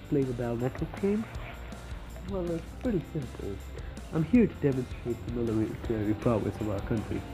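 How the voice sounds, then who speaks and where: A man at medium pitch and a moderate pace, with music in the background. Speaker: gaming commentator. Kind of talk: casual gameplay commentary. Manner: sarcastic, mock-boastful.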